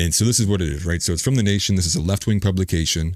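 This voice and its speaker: In a very clean recording with a silent background, a man talks with ordinary pitch variation. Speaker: political commentator livestream host. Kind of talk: casual livestream commentary.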